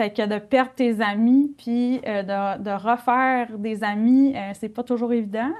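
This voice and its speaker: A woman's fairly high voice, very slow, with fairly even intonation and hardly any pauses. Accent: Saguenay. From Quebec, Saguenay. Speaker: nurse and mother. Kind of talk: testimony. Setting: studio.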